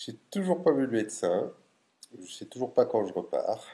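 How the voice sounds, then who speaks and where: A man is speaking. His pace is very slow. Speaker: video diarist. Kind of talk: video diary. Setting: at home.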